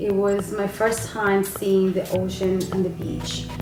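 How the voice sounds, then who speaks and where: With noticeable background noise and audible room echo, a woman with a Spanish accent speaks fairly slowly at medium pitch. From Colombia. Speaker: parent interviewed by her child. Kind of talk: family interview.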